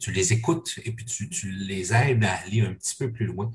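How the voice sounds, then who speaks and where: Somewhat breathy, the man's voice stays at a medium pitch with ordinary pitch variation and a moderate pace. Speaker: parish podcast host. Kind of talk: interview. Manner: halting.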